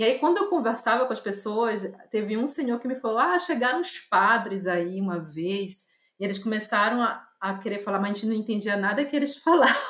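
With an ordinary speaking voice, a woman talks at a fairly quick pace with hardly any pauses, her fairly high pitch carried by lively intonation. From Brazil, Pará (Belém). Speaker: visual artist and curator. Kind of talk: casual interview. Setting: remote call.

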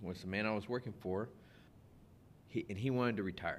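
In a South Texas accent, a man speaks at a fairly low pitch with ordinary pitch variation. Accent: South Texas American. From US, South Texas (Rio Grande Valley). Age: 50s. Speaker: produce business owner. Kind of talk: interview. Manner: halting, frequent repetitions.

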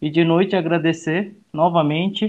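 A man talking at a very slow pace. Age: 30s. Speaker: youth association director. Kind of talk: casual chat.

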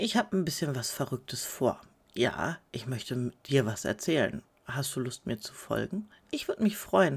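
A woman's very deep, low voice, somewhat breathy, with very wide pitch swings. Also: moderate pace. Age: 30s. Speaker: podcaster and mother of five. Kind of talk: casual monologue.

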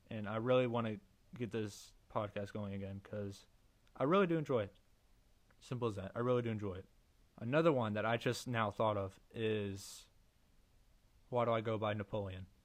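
On a very clean recording with a silent background, someone with an American accent speaks at a fairly quick pace with ordinary pitch variation and long, frequent pauses. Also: man, fairly low pitch for a man. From Missouri, USA. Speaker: podcaster and meme account creator. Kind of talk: solo casual monologue.

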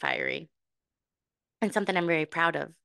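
A woman's fairly low, animated voice with vocal fry, ordinary pitch variation and an American accent, against a quiet background. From US Midwest, Illinois. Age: 30s. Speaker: podcast host. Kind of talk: personal storytelling monologue.

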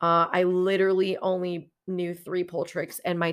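A woman with a fairly low pitch speaks at a fairly slow pace in a monotone, flat intonation, recorded very cleanly against a silent background. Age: 30s. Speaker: podcast host, exotic dancer and pole instructor. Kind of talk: personal storytelling monologue.

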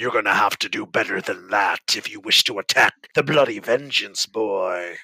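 Putting on a raspy character voice, a man talks at a moderate pace and medium pitch with hardly any pauses. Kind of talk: pirate speech. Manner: menacing, gloating, mocking.

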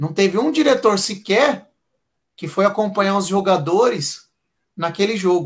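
Fairly slow with long, frequent pauses, a man speaks at a high pitch with lively intonation. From Santo André, São Paulo, Brazil. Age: 30s. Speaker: football fan, history teacher. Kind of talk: casual live-stream chat. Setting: online live stream.

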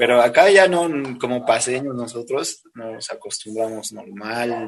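Over noticeable background noise, a man talks fairly slowly at a medium pitch with ordinary pitch variation. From Bolivia, La Paz. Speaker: urban music singer. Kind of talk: interview.

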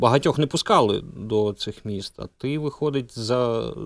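A man at medium pitch with ordinary pitch variation, in a dry, close sound with no echo, on a very clean recording with a silent background. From Zaporizhzhia, Ukraine. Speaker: radio host. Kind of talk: interview.

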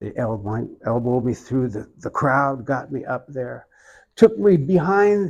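In an Oklahoma accent, a man talks at a fairly slow pace with a fairly high pitch and very wide pitch swings over a quiet background. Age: 70s. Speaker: iconographer. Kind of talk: interview.

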